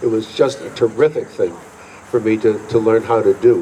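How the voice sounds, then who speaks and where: A man talks with an American accent and ordinary pitch variation. Noticeable background noise is present. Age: 70s. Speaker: fife and drum teacher. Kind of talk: acceptance speech. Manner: halting.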